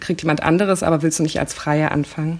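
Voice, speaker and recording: Her intonation is monotone and flat. The woman's pitch is fairly low. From East Berlin (Köpenick). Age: 30s. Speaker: journalist. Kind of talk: interview. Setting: visiting Hamburg.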